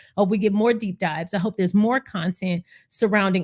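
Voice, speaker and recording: With an American accent and an animated tone, a woman at medium pitch talks at a very fast pace with ordinary pitch variation, in a dry, close sound with no echo on a very clean recording with a silent background. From Texas. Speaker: YouTube commentator on royal news. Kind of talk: live stream commentary.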